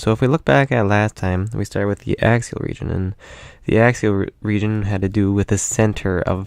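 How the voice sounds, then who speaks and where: Against a quiet background, the speaker moves at a fairly quick pace with ordinary pitch variation. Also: man. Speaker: anatomy teacher. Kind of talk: lecture. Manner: fast; many filler words.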